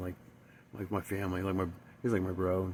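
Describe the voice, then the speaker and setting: This man's voice is very deep and low, with monotone, flat intonation. He speaks at a fairly quick pace. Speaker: recovering alcoholic vlogger. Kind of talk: personal testimony. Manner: halting.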